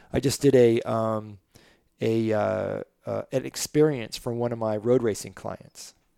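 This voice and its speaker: On a very clean recording with a silent background, a dark, mellow voice moves at a fairly slow pace with ordinary pitch variation. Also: man, medium pitch for a man. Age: 60s. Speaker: racing driver and coach. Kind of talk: casual chat.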